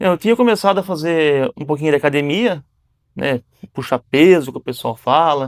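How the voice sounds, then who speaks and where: An ordinary speaking voice with lively intonation comes through a very clean recording with a silent background, dry and close with no echo. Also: man, fairly high pitch for a man, moderate pace. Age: 30s. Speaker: business owner, jiu-jitsu student. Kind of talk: casual interview.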